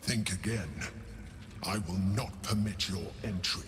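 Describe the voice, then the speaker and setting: A man's put-on character voice, fairly low-pitched and fairly slow, over clear background noise. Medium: video game. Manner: cold, curt.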